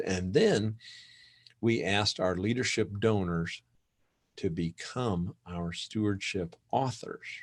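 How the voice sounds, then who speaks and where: Lively intonation marks a man's fairly low-pitched delivery in an ordinary speaking voice. The recording is very clean, with a silent background. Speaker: conference presenter, church fundraising consultant. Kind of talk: conference presentation.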